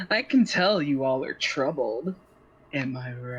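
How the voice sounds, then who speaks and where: A put-on character voice sits at a low-to-middle pitch and moves at a moderate pace. Hissing runs through the clip. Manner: gently hissing.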